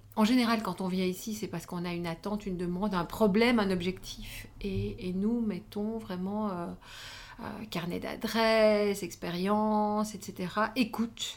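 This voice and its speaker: Using a plain, everyday voice, a woman speaks at medium pitch and a fairly slow pace with fairly even intonation. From Belgium, Wallonia (between Charleroi and Namur). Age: 50s. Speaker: former magazine editor and women's network founder. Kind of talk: interview conversation.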